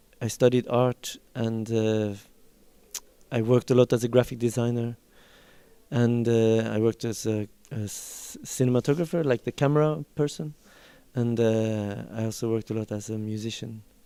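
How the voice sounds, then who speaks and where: Here a man with a Norwegian accent talks at a moderate pace and medium pitch. His tone is dark and mellow, his intonation fairly even. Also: dry, close sound with no echo. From Norway. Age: 40s. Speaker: film director. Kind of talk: interview. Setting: film festival. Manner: halting.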